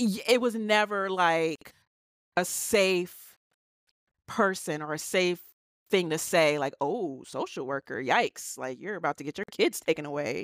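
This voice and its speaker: In a very clean recording with a silent background, a woman speaks at a fairly slow pace with a fairly low pitch. Her intonation is lively, and the sound is dry and close with no echo. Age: 30s. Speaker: school social worker. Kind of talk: casual chat.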